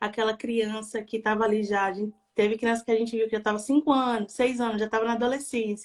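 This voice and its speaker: A woman speaks very fast with a Bahian accent. Her fairly high voice stays flat and monotone. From Bahia, Brazil. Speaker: adoption volunteer and NGO founder. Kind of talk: live stream interview.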